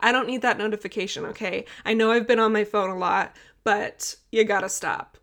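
Fairly high for a woman, her voice moves at a moderate pace in a flat monotone, captured in a very clean recording with a silent background. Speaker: podcast host, hockey partner. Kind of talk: casual interview chat. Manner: laughs often.

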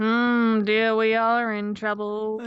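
A put-on character voice delivers its lines in a fairly high pitch with monotone, flat intonation. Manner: grumpy, worried.

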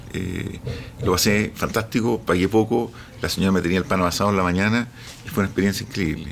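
The pace of this man's speech is fairly quick. His voice lies fairly low. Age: 50s. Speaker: business founder. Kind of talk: interview.

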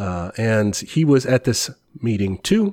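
A man with an American accent talks at medium pitch with a dark, mellow tone and ordinary pitch variation, on a very clean recording with a silent background. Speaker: teacher and podcast co-host. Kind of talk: casual educational chat.

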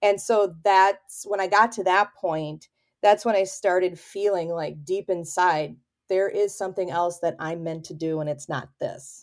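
With an American accent, a woman speaks at a fairly slow pace and medium pitch in a plain, everyday voice. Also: ordinary pitch variation. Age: 40s. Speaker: photographer. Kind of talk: casual chat.

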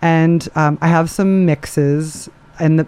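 A woman's dark, mellow tone at a moderate pace. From moved around the US and abroad. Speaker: DJ and music industry professional. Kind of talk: casual interview.

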